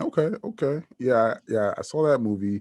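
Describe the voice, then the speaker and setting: With an American accent and a plain, everyday voice, a man speaks with lively intonation against a quiet background. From New Jersey, US. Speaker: podcast host. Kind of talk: interview.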